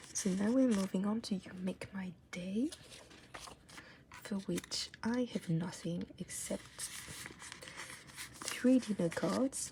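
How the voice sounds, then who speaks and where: The speech comes at a very slow pace with long, frequent pauses over noticeable background noise. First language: not English. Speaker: K-pop photocard collector YouTuber. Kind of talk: casual tutorial-style vlog. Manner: casual, hesitant with fillers.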